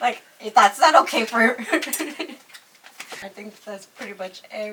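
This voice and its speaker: Over noticeable background noise, a woman with an American accent talks at a medium pitch with fairly even intonation. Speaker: YouTuber interviewing a makeup artist. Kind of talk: casual chat.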